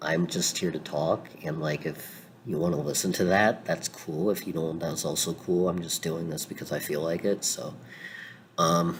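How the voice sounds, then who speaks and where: The man's pitch is very deep and low. He keeps a moderate pace and fairly even intonation. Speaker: fiction fan commentator. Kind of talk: casual talk to camera. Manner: casual, many filler words.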